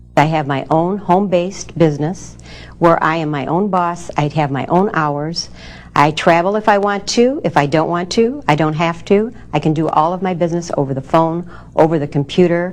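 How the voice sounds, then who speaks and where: A woman talks in an ordinary speaking voice, fairly low in pitch. Her pace is moderate and her pitch varies in an ordinary way. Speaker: home business owner, supplement distributor. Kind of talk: testimony.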